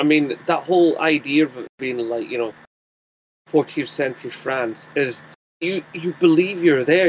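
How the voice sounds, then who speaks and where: This man has a strong Scottish accent and a fairly high pitch. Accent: thick Scottish. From Scotland. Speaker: YouTuber. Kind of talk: casual chat.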